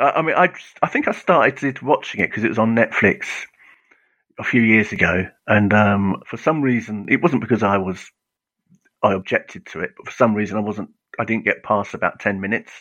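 Fairly low in pitch, a man with an English accent talks at a fairly quick pace with ordinary pitch variation. His loudness swings widely. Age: 50s. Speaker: comics author. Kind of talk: casual interview.

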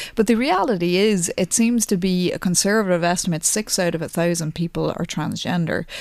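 Speech comes at a fairly quick pace with an Irish accent and hardly any pauses. The pitch varies in an ordinary way. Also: woman, fairly low pitch for a woman. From Ireland, County Louth. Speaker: plastic surgeon. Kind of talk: radio interview.

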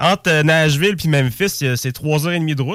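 In a plain, everyday voice, a man with a fairly high pitch speaks at a moderate pace on a very clean recording with a silent background. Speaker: music enthusiast. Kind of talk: casual chat.

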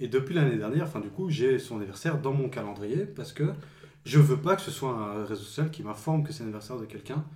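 Audible room echo surrounds a man's medium-pitched voice as he talks at a fairly quick pace with lively intonation. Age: 20s. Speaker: friend of host. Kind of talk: casual chat.

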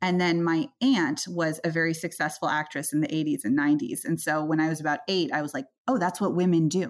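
A woman's plain, everyday voice, fairly low in pitch with ordinary pitch variation, on a very clean recording with a silent background. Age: 30s. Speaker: venture capitalist. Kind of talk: interview.

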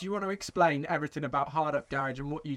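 A man at a fast pace, ordinary pitch variation. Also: fairly bright tone.

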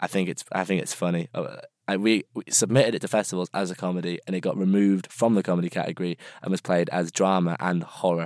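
Over a silent background on a very clean recording, a man talks at a very fast pace in a very deep, low voice with fairly even intonation and a dry, close sound with no echo. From Birmingham, England. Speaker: filmmaker. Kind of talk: interview. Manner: halting.

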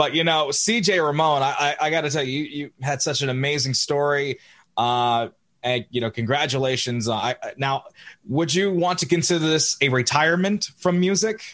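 This man has a normal speaking voice with ordinary pitch variation. He talks at a moderate pace. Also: fairly high pitch for a man. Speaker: podcast host. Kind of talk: casual interview.

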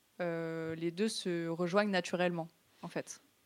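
A woman speaks at a fairly slow pace with fairly even intonation and a fairly low pitch. Music plays in the background. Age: 20s. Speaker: esports student and streamer. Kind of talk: interview. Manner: casual, slangy with hesitations.

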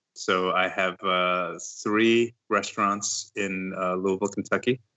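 In an American accent, a man speaks fairly slowly at a very deep, low pitch. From New York (Brooklyn). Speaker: chef and restaurant owner. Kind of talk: interview. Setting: Skype call.

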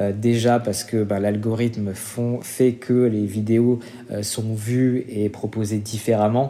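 A man speaks at a very slow pace in a flat monotone with a medium pitch. Noticeable background noise runs under his voice. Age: 30s. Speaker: marketing director at an influencer agency. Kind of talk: interview. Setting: remote recording. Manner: hesitant, many fillers.

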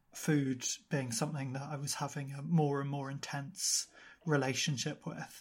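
A man speaks in a flat monotone at a moderate pace, his voice fairly high and somewhat breathy, on a very clean recording with a silent background. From UK. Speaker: podcaster and model. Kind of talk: casual interview chat.

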